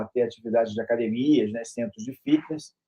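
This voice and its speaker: The delivery has a fairly quick pace and ordinary pitch variation. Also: man. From Brazil, Rio de Janeiro. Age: 60s. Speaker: university professor and author. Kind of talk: interview self-introduction. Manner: halting, with fillers and repetitions.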